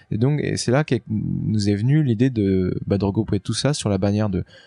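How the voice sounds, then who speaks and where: Over music in the background, a man talks at a moderate pace in a fairly low pitch with ordinary pitch variation and a dry, close sound with no echo. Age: 40s. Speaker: offshore racing skipper. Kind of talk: casual interview. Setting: aboard a trimaran in port. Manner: halting, many fillers.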